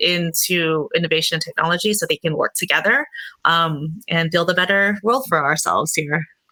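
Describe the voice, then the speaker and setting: A woman speaks with an American accent at a fairly low pitch and a moderate pace. Her tone is bright and sharp, and her pitch varies in an ordinary way. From US West Coast, Oakland, California. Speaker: XR creative director. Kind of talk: panel discussion. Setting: online conference.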